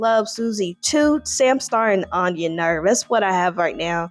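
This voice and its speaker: With an American accent, a woman speaks in an animated tone and lively intonation. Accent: country drawl and twang, somewhat toned down. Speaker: TV show reviewer, YouTuber. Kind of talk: casual review monologue.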